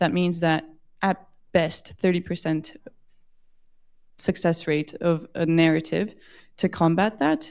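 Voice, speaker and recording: On a very clean recording with a silent background, a woman speaks with a slight Brazilian accent. Her fairly low voice has ordinary pitch variation. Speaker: audience member asking questions. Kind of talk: audience question.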